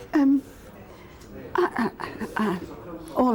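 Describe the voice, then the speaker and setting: A woman with lively intonation is heard against noticeable background noise. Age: 80s+. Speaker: football fan. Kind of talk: interview.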